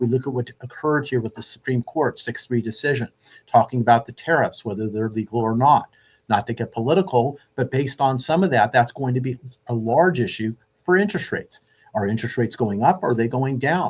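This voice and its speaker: At a fairly quick pace, a man speaks in a somewhat breathy voice of medium pitch with ordinary pitch variation. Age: 60s. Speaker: radio host and mortgage lender. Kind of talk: radio show monologue.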